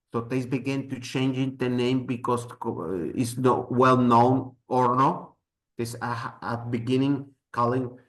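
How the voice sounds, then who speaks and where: Here a man speaks at a medium pitch with a Spanish accent. His pace is fairly slow. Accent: Spanish accent, non-native English. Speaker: mezcal expert, presenter. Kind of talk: presentation with slides. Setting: live event with audience. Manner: halting.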